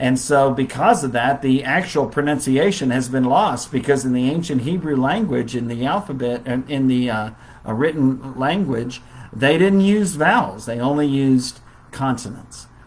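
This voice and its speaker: A man with an unremarkable speaking voice at medium pitch, a moderate pace, and ordinary pitch variation. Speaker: Bible class teacher. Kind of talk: Bible lesson. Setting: Facebook live stream.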